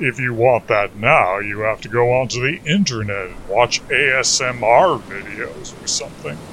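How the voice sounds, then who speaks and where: Lively intonation from a man at a medium pitch, fairly slow, with big swings in loudness over noticeable background noise. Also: hardly any pauses. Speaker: comedy music podcast host. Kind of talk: comedic monologue.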